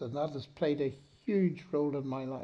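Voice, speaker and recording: With a Northern Irish accent, a man talks in a warm tone. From Northern Ireland. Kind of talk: public lecture and Q&A. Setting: stage with audience. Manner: warm, good-humoured, gracious.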